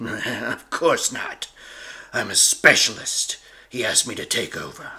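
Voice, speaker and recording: A man's raspy, put-on character voice, menacing in tone, at a fairly slow pace with big swings in loudness. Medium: audio drama. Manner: cold, menacing.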